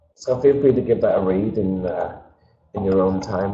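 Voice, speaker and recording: A man at a moderate pace, with audible room echo. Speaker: webinar presenter. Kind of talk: webinar presentation. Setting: webinar video call. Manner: casual, hesitant with fillers. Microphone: switching between camera mic and built-in mic.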